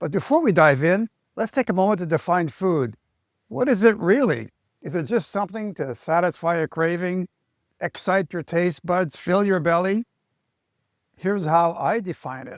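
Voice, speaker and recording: In a very clean recording with a silent background, a man speaks at a moderate pace and a high pitch, with lively intonation. The sound is dry and close with no echo, and his pauses are long and frequent. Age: 70s. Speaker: chiropractor. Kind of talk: health advice talk to camera.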